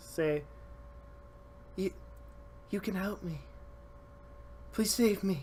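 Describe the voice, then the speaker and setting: In a put-on character voice, the speaker whispers breathily at a fairly slow pace with long, frequent pauses over clear background noise. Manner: pleading.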